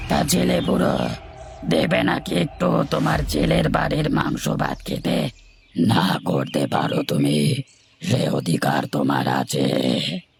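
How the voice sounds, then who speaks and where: Very slow and raspy, a man puts on a cartoonish character voice pitched very deep and low. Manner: grand, stately, self-assured.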